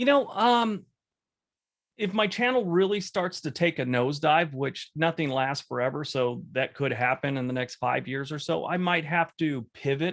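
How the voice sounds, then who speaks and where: A man speaks with lively intonation. His pitch sits fairly high. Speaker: YouTube content creator. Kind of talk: casual interview Q&A. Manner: fast in his videos, with ums and pauses here.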